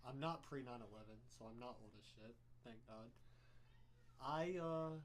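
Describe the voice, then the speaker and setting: A man's medium-pitched voice at a moderate pace, with ordinary pitch variation, big swings in loudness and audible room echo. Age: 20s. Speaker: podcast co-host. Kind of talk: casual chat.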